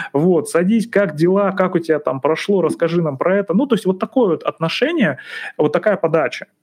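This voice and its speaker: A man's high-pitched voice moves at a fairly quick pace with lively intonation. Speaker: psychologist. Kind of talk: casual monologue. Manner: relaxed.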